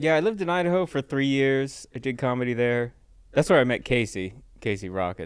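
Using an ordinary speaking voice, a man with an American accent talks fairly quickly at medium pitch with lively intonation. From Southern California (Riverside). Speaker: comedian. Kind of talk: casual chat.

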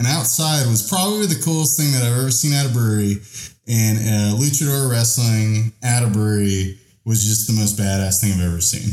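With an American accent, a man talks at a fairly quick pace in a dark, mellow tone that is somewhat breathy. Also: medium pitch for a man, ordinary pitch variation, very even loudness. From Texas. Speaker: podcast co-host. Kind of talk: casual chat.

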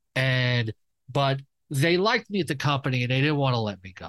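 A man with a New York accent talks at a fairly quick pace in a medium pitch, with ordinary pitch variation over a quiet background. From New York, Queens. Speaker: fantasy sports analyst. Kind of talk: casual interview.

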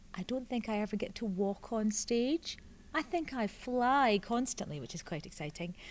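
With a Scottish accent, a woman speaks at a moderate pace in a fairly high pitch and lively intonation, on a very clean recording with a silent background. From southwest Scotland. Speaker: actress and children's TV presenter. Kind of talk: casual interview.

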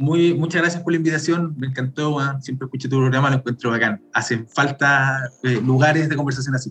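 Against music in the background, a man with a Chilean accent talks at a fairly quick pace with hardly any pauses, using a fairly high pitch and fairly even intonation. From Chile, Santiago. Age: 30s. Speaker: bitcoin promoter and event co-founder. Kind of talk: casual chat.

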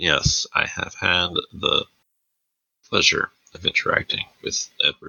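Putting on a raspy character voice at an extremely high pitch, a man speaks at a fairly slow pace with long, frequent pauses. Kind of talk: formal. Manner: reserved, polite, through gritted teeth.

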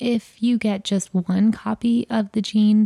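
Speaking very slowly in a medium pitch, a woman has a somewhat breathy, dark, mellow tone and monotone, flat intonation, on a very clean recording with a silent background. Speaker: podcast host. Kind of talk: scripted narration.

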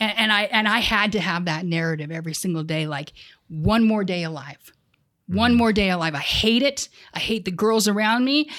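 A plain, everyday voice speaks at a moderate pace with lively intonation. The recording is very clean, the background silent. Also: woman, medium pitch for a woman. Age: 40s. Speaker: peer support specialist. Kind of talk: casual interview.

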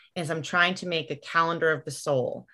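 At a fairly quick pace, a woman talks in an unremarkable speaking voice with fairly low pitch. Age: 30s. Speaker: writer and mother. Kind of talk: casual chat.

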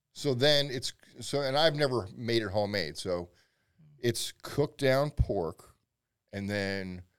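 With an American accent, a man at medium pitch talks at a fairly slow pace, leaving long, frequent pauses. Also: lively intonation. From Pennsylvania. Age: 50s. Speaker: barbecue pitmaster and instructor. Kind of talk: casual chat.

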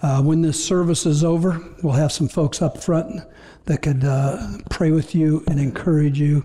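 Here is an ordinary speaking voice: a man with a fairly high pitch, fairly even intonation, very even loudness and a moderate pace. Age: 60s. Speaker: pastor. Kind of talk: sermon. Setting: church.

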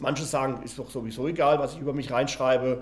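A man talks fairly quickly in a somewhat breathy voice that sits fairly high in pitch. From Spain. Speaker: game company founder. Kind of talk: interview.

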